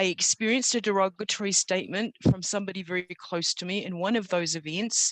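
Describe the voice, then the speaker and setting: A woman speaks at medium pitch with a New Zealand accent and fairly even intonation. She barely pauses, and the sound is dry and close with no echo. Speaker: storyteller. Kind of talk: testimony. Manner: unscripted, with hesitations.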